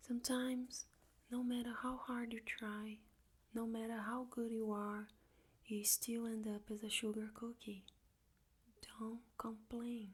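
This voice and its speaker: Soft-spoken and calm in tone, the speaker talks at a fairly slow pace with long, frequent pauses. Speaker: ASMR reader. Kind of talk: soft-spoken audiobook reading for ASMR. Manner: soft-spoken, calm.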